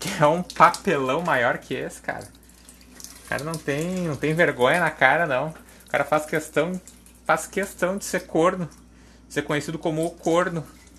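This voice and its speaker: With long, frequent pauses, a man talks at a moderate pace in a fairly high pitch, his intonation fairly even and his tone bright and sharp. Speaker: podcaster. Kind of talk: casual monologue. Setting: at the kitchen sink washing dishes.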